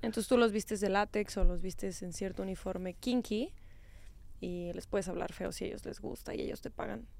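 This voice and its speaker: On a very clean recording with a silent background, a woman of medium pitch speaks fairly quickly with vocal fry and ordinary pitch variation. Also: big swings in loudness. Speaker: sex educator podcast host. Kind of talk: casual chat.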